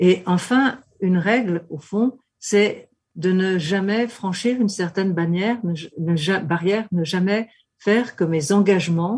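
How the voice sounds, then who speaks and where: At a very slow pace with long, frequent pauses, a woman speaks in a somewhat breathy voice of medium pitch. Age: 70s. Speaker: political scientist. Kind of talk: interview. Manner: hesitant.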